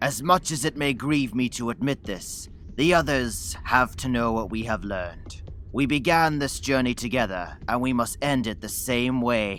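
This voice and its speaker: Over clear background noise, a man puts on a cartoonish character voice at medium pitch and a moderate pace. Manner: smooth, persuasive.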